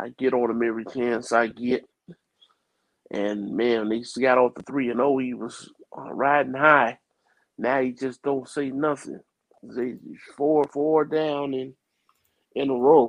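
Speaking at a fairly slow pace with long, frequent pauses, a man with an American accent keeps to a medium pitch. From New Jersey, US. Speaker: sports podcast panelist. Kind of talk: casual sports talk. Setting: phone call.

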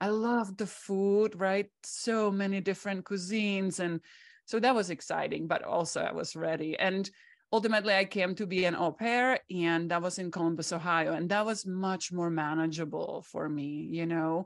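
At a moderate pace, a woman with a Czech accent speaks at medium pitch against a quiet background. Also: ordinary pitch variation. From Czech Republic. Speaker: psychotherapist. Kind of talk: interview. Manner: many filler words.

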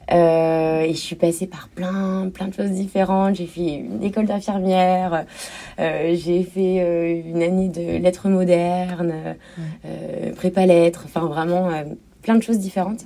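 Against noticeable background noise, a woman speaks fairly slowly in a flat monotone at a fairly low pitch. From France, Normandy (Cherbourg). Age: 30s. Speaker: shop owner. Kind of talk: interview.

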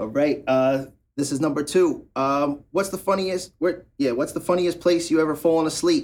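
At a moderate pace, a man talks with an ordinary speaking voice. His fairly high pitch shows ordinary pitch variation. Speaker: podcast host. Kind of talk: casual interview chat.

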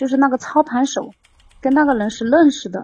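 This woman's high-pitched voice has a dark, mellow tone, heard dry and close with no echo. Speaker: caller, scam victim. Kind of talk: phone-in advice call. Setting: voice call into livestream. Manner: halting. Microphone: too far from the microphone.

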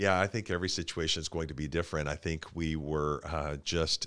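A man with an American accent speaks at a moderate pace in a very deep, low voice with vocal fry, recorded very cleanly over a silent background. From Tulsa, Oklahoma. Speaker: city councilor and foundation CEO. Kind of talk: interview. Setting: studio.

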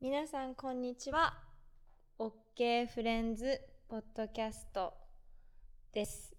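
Pitched high, a woman talks at a fairly slow pace, with long, frequent pauses. Her tone is animated and her pitch variation ordinary. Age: 20s. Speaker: podcast host. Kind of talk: casual solo monologue. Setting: self-recorded while traveling. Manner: animated, frequent laughter.

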